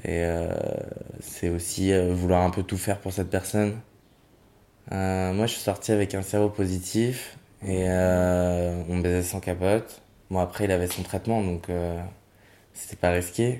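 A man speaks in a very deep, low pitch with a dark, mellow tone and monotone, flat intonation. His pace is fairly slow, with long, frequent pauses. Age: 20s. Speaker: interviewee sharing experience. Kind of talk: testimony. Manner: hesitant.

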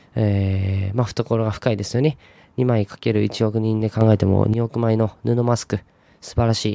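A man's fairly low, dark, mellow voice at a moderate pace, flat and monotone in intonation but with big swings in loudness. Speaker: podcast host. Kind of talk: solo monologue podcast. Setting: home room. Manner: halting, many fillers.

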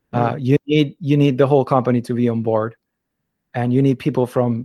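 On a very clean recording with a silent background, a man speaks at a medium pitch in a Spanish accent with fairly even intonation. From Argentina. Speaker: translator and interpreter. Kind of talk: interview. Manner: hesitant, many fillers and repetitions.

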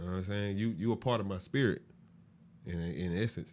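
Fairly low in pitch, a man speaks with an American accent on a very clean recording with a silent background. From Augusta, Georgia. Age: 20s. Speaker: podcast guest. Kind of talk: casual chat.

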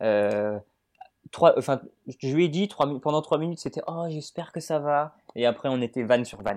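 A man with a plain, everyday voice, fairly high pitch, lively intonation, moderate pace and big swings in loudness. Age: 20s. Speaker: Twitter personality. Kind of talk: casual chat.

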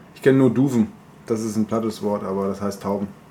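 Noticeable background noise sits behind a man's voice. He talks very fast at a medium pitch. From German village near Bamberg. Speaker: podcast co-host. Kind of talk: casual chat.

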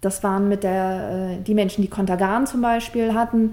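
Speaking at a moderate pace with fairly even intonation, a woman uses medium pitch in an unremarkable speaking voice. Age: 30s. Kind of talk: interview.

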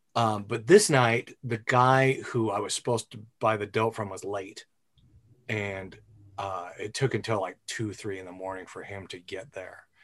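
A man with a normal speaking voice talks at a moderate pace and fairly low pitch, his intonation fairly even but his loudness swinging widely, over a quiet background. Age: 50s. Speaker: podcast host. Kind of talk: casual chat.

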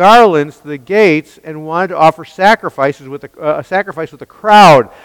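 The text is read aloud in a natural voice. Pitch rises and falls in an ordinary way.

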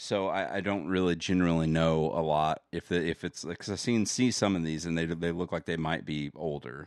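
A man with a very deep, low voice talks at a fairly quick pace with hardly any pauses, on a very clean recording with a silent background. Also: ordinary pitch variation. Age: 30s. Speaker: podcast co-host. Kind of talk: casual chat.

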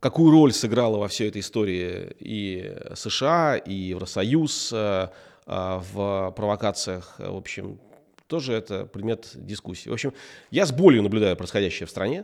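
Fairly low male voice at a very slow pace with ordinary pitch variation, on a very clean recording with a silent background. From Russia, grew up in military towns. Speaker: tech entrepreneur. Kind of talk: interview.

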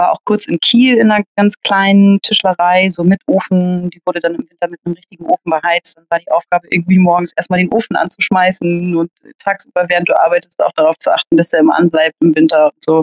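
Talking very fast with hardly any pauses, a woman uses a medium pitch and ordinary pitch variation in a dry, close sound with no echo. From Hamburg, northern Germany. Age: 30s. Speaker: table football player and organizer. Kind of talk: interview, casual chat. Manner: hesitant, many filler sounds.

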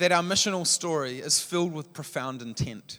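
A man with a New Zealand accent at a moderate pace, in a very clean recording with a silent background. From New Zealand, Palmerston North. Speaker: church leader, guest preacher. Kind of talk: sermon.

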